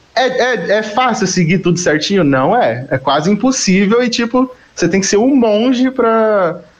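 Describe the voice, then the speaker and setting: Here a man talks with lively intonation. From Greater São Paulo (Carapicuíba). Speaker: musician. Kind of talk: casual chat.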